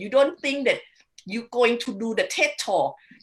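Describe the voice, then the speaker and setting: Her voice high-pitched, a woman speaks with ordinary pitch variation. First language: not English. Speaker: wealth coach and podcast host. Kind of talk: panel discussion.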